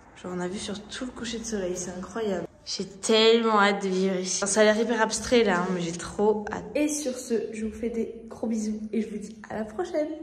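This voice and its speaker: Talking at a fairly quick pace with hardly any pauses, a woman uses a fairly high pitch and ordinary pitch variation. There is audible room echo along with noticeable background noise. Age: 20s. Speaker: vlogger. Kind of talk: casual vlog. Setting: in a car. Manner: casual, hesitant with fillers.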